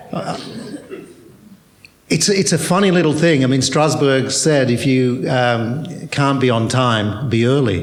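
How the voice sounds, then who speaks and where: There is audible room echo around a man's medium-pitched voice. He speaks at a fairly slow pace with ordinary pitch variation. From Australia. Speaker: theatre director. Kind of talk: panel discussion. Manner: hesitant, repetitive.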